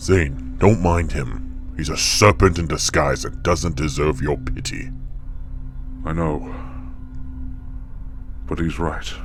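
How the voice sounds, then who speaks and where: Over loud background music, a man in a put-on character voice talks at a fairly slow pace with long, frequent pauses. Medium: machinima. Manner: formal, stern.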